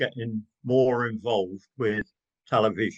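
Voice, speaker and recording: A man talks with lively intonation, his voice at a medium pitch. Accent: English. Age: 70s. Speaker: gardener and social media creator. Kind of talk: interview conversation.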